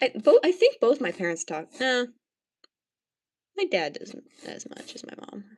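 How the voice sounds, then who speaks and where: A woman speaks at a moderate pace in a high voice with very wide pitch swings. Her loudness swings widely, and she takes long, frequent pauses. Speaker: art livestreamer. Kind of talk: casual chat while painting on livestream. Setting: livestream. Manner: mumbling to herself.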